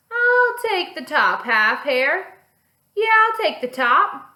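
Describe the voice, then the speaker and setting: Using a put-on character voice, a woman projects at an extremely high pitch, very slowly, with very wide swings in pitch. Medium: read story. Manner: slow, grumbling.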